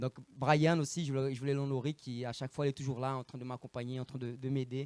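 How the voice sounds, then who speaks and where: A man with a medium pitch talks at a very fast pace, in a dry, close sound with no echo. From Brazil. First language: Portuguese (speaking French). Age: 30s. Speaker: evangelist preacher. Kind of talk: sermon. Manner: animated; halting.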